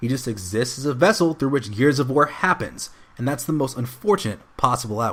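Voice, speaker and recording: This man has a plain, everyday voice at a medium pitch. He talks at a fairly quick pace with lively intonation. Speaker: voice actor. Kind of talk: video game review narration.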